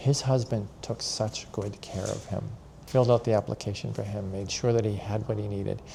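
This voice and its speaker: An ordinary speaking voice from a man, fairly low in pitch, at a moderate pace with ordinary pitch variation. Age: 60s. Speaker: senior center volunteer. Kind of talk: interview.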